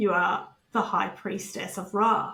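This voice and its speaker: A loud, booming put-on character voice from a woman at a medium pitch and a fairly slow pace. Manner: commanding.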